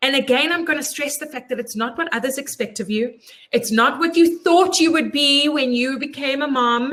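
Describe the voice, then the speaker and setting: With a raised, projected voice, a woman sounds animated, her high pitch carrying a bright, sharp tone. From South Africa. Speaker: life coach. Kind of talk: live webinar talk. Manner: fast.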